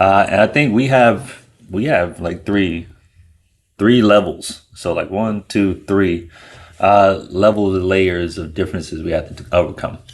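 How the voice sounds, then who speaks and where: A man's fairly low voice at a fairly slow pace, with ordinary pitch variation and an ordinary speaking voice. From United States. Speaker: co-host of a couple's channel. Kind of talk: casual chat.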